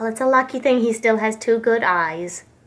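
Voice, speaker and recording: A woman puts on a character voice, pitched fairly high. She keeps a moderate pace with ordinary pitch variation. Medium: read story. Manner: rambling.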